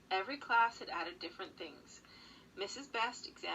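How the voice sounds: The speaker uses a natural reading voice.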